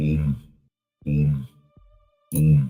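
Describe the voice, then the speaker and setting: A man puts on a character voice, very deep and low, speaking at a very slow pace. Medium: actual play. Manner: blunt, simple.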